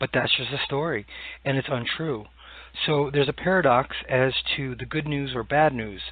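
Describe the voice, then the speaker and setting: A man's fairly high voice moves at a moderate pace, with ordinary pitch variation. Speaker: podcast host. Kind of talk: solo podcast monologue. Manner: hesitant, many fillers.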